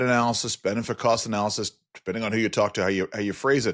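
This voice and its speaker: Recorded very cleanly against a silent background, a man with a New York accent talks at a very fast pace. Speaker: podcast host. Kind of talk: interview.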